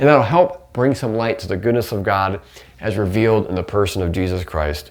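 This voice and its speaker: A man speaks at a very fast pace in a fairly low voice. Noticeable background noise runs behind him. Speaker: podcast host. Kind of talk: theological teaching monologue.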